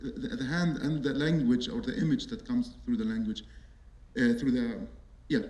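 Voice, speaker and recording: Amid audible room echo, a man with a fairly high pitch and an Arabic accent speaks at a moderate pace, his pitch swinging very widely. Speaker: artist and architect. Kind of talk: panel talk. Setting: auditorium with audience. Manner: halting.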